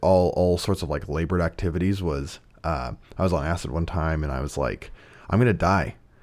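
Animated and fairly quick, a man speaks at a very deep, low pitch with vocal fry. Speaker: podcast host. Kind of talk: casual chat. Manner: casual, animated, joking.

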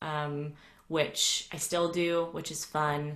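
Speech comes at a very slow pace with an American accent. Audible room echo surrounds it. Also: woman. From US South, Atlanta. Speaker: voice coach. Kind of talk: casual interview. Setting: video call. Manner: halting.

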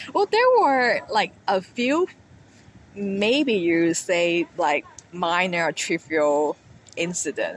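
Noticeable background noise is present. Words come at a very slow pace. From Hong Kong. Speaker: podcast guest sharing counseling experience. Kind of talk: casual interview chat. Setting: rooftop bar.

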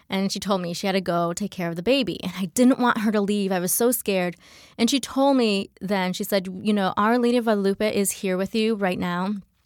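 With a plain, everyday voice, a woman of medium pitch speaks with fairly even intonation and an American accent on a very clean recording with a silent background. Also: fairly quick pace. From US Midwest, Michigan. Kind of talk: testimony.

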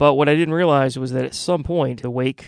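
A man with an unremarkable speaking voice, medium pitch and fairly even intonation at a fairly quick pace, in a very clean recording with a silent background. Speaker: goth radio host. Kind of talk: radio show hosting. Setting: radio studio broadcast. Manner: casual, relaxed, with frequent filler words.

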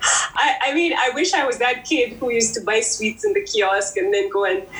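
Amid noticeable background noise, a woman speaks at a fairly high pitch with lively intonation. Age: 40s. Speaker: beauty brand founder. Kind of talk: interview.

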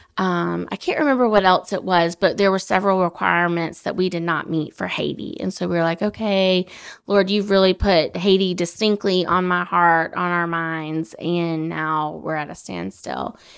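This woman talks at a moderate pace with hardly any pauses, at a fairly low pitch. Intonation stays fairly even in a very clean recording with a silent background. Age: 30s. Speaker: foster and adoptive mother. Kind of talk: casual interview.

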